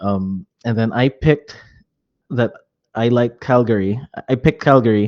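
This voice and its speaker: Dry and close with no echo over a quiet background, a man with a Filipino accent speaks at a medium pitch and a fairly slow pace, with fairly even intonation and a dark, mellow tone. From Metro Manila, Philippines (born Hong Kong). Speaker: real estate and insurance agent. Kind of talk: casual interview.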